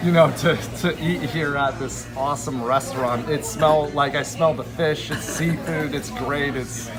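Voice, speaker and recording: Barely pausing, a man talks at a moderate pace in a fairly high voice with fairly even intonation over noticeable background noise. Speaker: Uber driver. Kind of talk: casual conversation over lunch.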